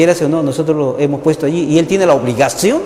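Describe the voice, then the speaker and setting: Amid noticeable background noise and audible room echo, a man speaks at a fairly quick pace and a fairly high pitch. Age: 60s. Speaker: journalist and university teacher. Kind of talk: TV interview conversation. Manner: animated.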